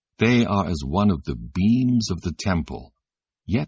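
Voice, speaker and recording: A man with vocal fry talks at a fairly slow pace with very wide pitch swings, in a dry, close sound with no echo on a very clean recording with a silent background. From Britain. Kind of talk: scripture audiobook reading. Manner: expressive, clear, natural.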